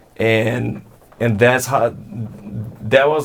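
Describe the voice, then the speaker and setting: A man speaks very slowly at a medium pitch with fairly even intonation. Noticeable background noise is audible. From Brazil, São Paulo state (Santo André). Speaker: alt-rock musician. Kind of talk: interview. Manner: halting, many repeated words.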